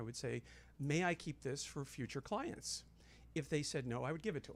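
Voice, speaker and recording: On a very clean recording with a silent background, a man with an American accent rattles along at a very fast pace, his fairly high pitch carrying lively intonation and vocal fry. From Los Angeles. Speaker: makeup artist and beauty author. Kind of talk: casual chat.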